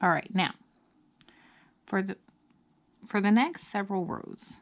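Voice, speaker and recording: A woman speaks at a medium pitch. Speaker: crochet instructor. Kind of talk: tutorial.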